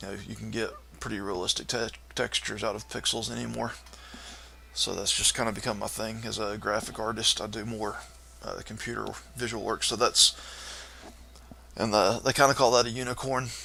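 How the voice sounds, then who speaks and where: Against noticeable background noise, a man with a Southern US accent talks at a fairly quick pace in a monotone, flat way, with long, frequent pauses. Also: medium pitch for a man. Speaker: live-streaming coder and graphic artist. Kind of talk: casual live-stream chat. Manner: halting, many fillers.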